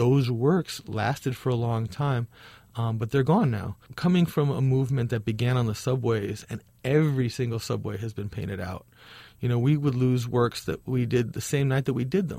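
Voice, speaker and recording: A man with an American accent speaks at a moderate pace in a somewhat breathy, medium-pitched voice, with ordinary pitch variation. The recording is very clean, with a silent background. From Chicago, Hyde Park. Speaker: muralist and nonprofit founder. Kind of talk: interview.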